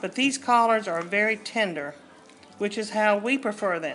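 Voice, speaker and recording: With a Southern US accent, a woman speaks at a fairly slow pace using lively intonation. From US South. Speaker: cooking channel host. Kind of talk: cooking tutorial. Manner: casual, conversational.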